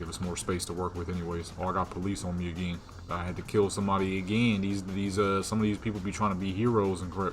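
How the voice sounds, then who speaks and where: A man with a very deep, low pitch talks at a very fast pace with hardly any pauses, in a monotone, flat intonation. Audible room echo fills the recording. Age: 20s. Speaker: gaming youtuber. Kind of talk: casual gameplay commentary. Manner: stuttering when tired; casual slangy rambling.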